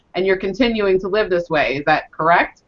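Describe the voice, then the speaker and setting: Pitched at a medium level, a woman uses an ordinary speaking voice with ordinary pitch variation. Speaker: interviewer, diabetes coach. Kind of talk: interview host.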